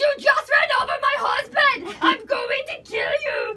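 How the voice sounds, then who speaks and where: Shouting in a put-on character voice with a German accent, a female-sounding speaker takes a furious tone at a fairly slow pace, her pitch extremely high for a woman. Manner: screaming, furious.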